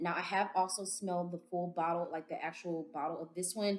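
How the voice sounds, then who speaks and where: A woman with an American accent, fairly low in pitch, at a moderate pace with ordinary pitch variation. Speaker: beauty vlogger. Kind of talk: product review vlog. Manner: animated.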